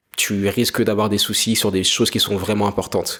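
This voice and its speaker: With a French accent, a man talks at a fairly quick pace and a fairly low pitch in a monotone, flat intonation. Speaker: entrepreneur podcaster. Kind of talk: solo monologue podcast.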